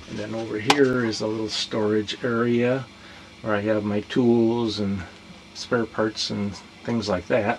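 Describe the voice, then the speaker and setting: A man at a fairly slow pace over noticeable background noise. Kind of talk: casual tour narration. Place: boat. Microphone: phone near.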